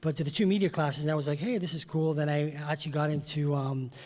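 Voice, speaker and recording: The recording is very clean, with a silent background. A man talks at a fairly high pitch, somewhat breathy, with fairly even intonation. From England, West Indian family, later Toronto. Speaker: music industry insider, former broadcaster. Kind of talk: panel discussion. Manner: hesitant, many fillers.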